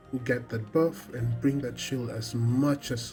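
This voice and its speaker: A man at medium pitch with ordinary pitch variation, speaking at a very slow pace over music in the background. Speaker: game guide creator. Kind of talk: game tutorial voiceover.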